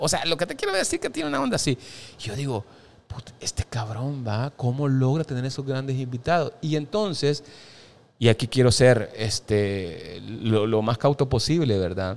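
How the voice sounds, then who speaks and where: The man has a normal speaking voice at medium pitch, with ordinary pitch variation and a moderate pace. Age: 40s. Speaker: stage actor. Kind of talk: casual chat.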